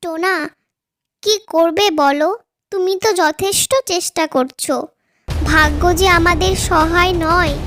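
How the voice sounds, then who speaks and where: A female-sounding cartoonish character voice, extremely high-pitched, moves along at a fairly slow pace. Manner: warm, affectionate.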